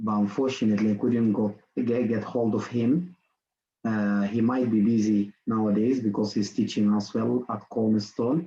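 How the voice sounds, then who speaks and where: A man with a non-native accent speaks at a moderate pace with very even loudness and fairly even intonation. His tone is dark and mellow, and his pitch is fairly low. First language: not English. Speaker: workshop presenter. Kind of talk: online lecture. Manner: halting, many fillers and repetitions.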